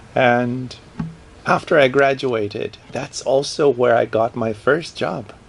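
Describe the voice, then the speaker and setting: At a very slow pace, a man with a Portuguese accent speaks at medium pitch. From Brazil. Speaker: professor. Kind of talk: interview.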